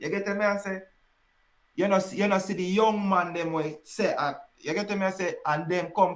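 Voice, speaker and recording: At a moderate pace, a man talks with a Jamaican accent. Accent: Jamaican patois. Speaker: dancehall podcast host. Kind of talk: casual chat. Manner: animated.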